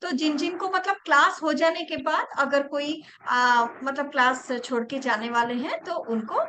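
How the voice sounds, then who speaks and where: Raised and projected, a woman's voice carries. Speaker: reiki teacher. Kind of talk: online class.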